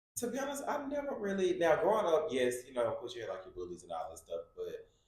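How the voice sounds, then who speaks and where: The speech moves at a moderate pace. Room echo can be heard. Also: man. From US South, Memphis, Tennessee. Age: 20s. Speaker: business owner. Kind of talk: interview.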